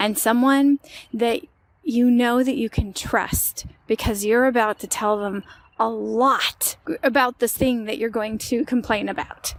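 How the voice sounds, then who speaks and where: A woman with a normal speaking voice and an American accent, fairly high in pitch, at a fairly slow pace with fairly even intonation. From United States. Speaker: language podcaster. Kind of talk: language lesson. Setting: outdoors. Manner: casual.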